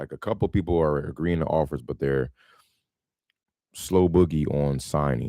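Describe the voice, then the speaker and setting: A man's very deep, low voice with a dark, mellow tone and ordinary pitch variation. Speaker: real estate wholesaler and livestream host. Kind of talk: casual livestream talk. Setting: live stream. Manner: casual, filler-heavy.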